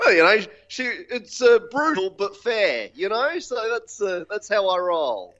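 A man with an Australian accent talks at a fairly slow pace, his high voice making very wide pitch swings. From Australia, Gold Coast. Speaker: filmmaker and stand-up comedian. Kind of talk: casual interview. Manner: enthusiastic.

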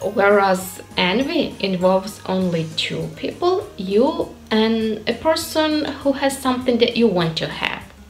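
Faint music plays behind a woman with a fairly high pitch who speaks with very wide pitch swings and hardly any pauses. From Ukraine. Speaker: English learner. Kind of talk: casual talk to camera. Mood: warm, friendly. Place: home room.

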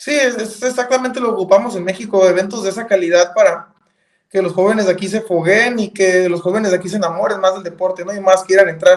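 Against a quiet background, a man talks at a very fast pace in a high pitch with fairly even intonation. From northern Mexico. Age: 30s. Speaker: professional cyclist; guest. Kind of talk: interview. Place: home room. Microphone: video call.

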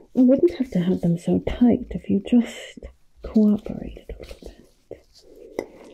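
Soft-spoken and menacing in tone, this voice moves at a very slow pace. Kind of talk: roleplay monologue. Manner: soft ASMR voice, menacing doctor. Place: home room.

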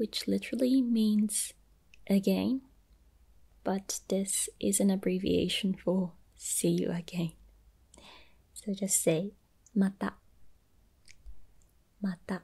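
Soft-spoken and gentle in tone, a woman talks at a very slow pace. Long, frequent pauses break up her speech. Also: quiet background. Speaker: language teacher. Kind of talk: tutorial. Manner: soft-spoken, gentle ASMR voice. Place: home room. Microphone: phone near.

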